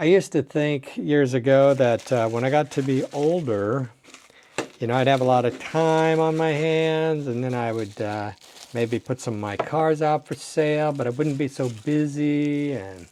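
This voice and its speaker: This man has a fairly high pitch and ordinary pitch variation. He talks at a fairly slow pace. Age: 60s. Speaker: toy car collector. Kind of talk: unboxing video. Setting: home desk. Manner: animated.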